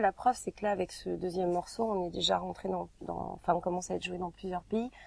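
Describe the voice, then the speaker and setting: A woman's voice, dark and mellow in tone, moves at a fairly quick pace. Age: young. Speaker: singer. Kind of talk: interview. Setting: recording studio. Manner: hesitant, many filler sounds.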